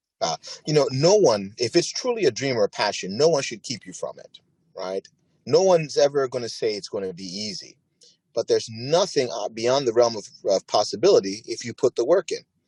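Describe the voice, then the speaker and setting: A man's fairly quick speech, dry and close with no echo, with big swings in loudness. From Ghana, moved to US South Bronx around age 7-8. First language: not English. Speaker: plastic surgeon. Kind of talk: interview.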